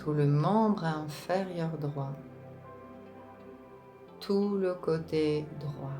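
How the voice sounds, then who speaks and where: With music in the background, a woman speaks at a very slow pace in a very deep, low pitch, using a calm, soothing tone and long, frequent pauses. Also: ordinary pitch variation. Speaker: relaxation and meditation guide. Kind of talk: guided relaxation / yoga nidra session. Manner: slow, calm, soothing.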